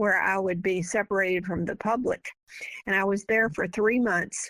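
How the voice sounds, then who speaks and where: A woman with a Southern US accent speaks at a medium pitch and a moderate pace, with fairly even intonation. The sound is dry and close with no echo, a very clean recording over a silent background. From US South. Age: 80s+. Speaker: author. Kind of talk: interview.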